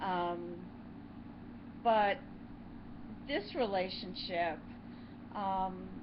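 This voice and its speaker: A woman is speaking. The room echo is audible. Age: 60s. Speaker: YouTube co-host. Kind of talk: casual chat.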